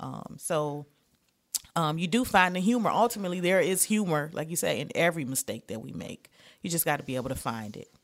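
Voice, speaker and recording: Speaking fairly quickly with an American accent, a woman uses a fairly low pitch, vocal fry and very wide pitch swings. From Detroit, Michigan. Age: 40s. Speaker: comedian. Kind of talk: casual chat.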